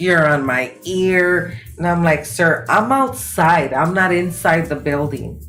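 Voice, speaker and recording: Against music in the background and audible room echo, a woman with a fairly low pitch talks at a very slow pace with hardly any pauses and lively intonation. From Los Angeles, California (Mexican-American). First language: Spanish. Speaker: guest telling of a racist attack. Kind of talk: testimony. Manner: halting.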